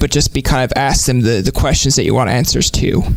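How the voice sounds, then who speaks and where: A man speaks with music playing in the background. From Newfoundland. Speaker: podcast host. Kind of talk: casual interview chat.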